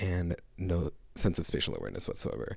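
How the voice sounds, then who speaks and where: A soft-spoken man whispering, somewhat breathy, at a moderate pace on a very clean recording with a silent background. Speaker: vlogger. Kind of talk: casual chat. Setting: living room at home. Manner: soft-spoken, near whisper.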